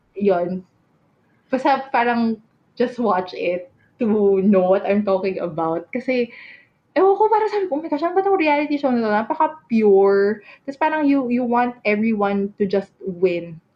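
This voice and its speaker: A woman's fairly high voice at a fairly slow pace, with very wide pitch swings. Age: 30s. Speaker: podcast co-host. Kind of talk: casual chat.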